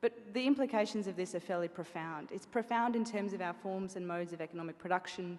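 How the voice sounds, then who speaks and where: A woman with an Australian accent, at a fairly low pitch and a fairly quick pace. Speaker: bank sustainability executive. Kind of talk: conference talk. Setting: event venue with audience. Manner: fast.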